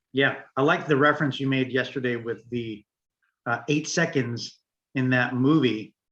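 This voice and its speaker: A man's voice at medium pitch and a moderate pace. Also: fairly even intonation. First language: Greek. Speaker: podcast co-host. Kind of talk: casual discussion. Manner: halting, many fillers.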